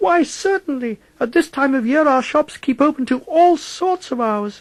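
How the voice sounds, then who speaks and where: A man puts on a character voice pitched extremely high, keeping a moderate pace. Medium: read story. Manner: brisk, fussy.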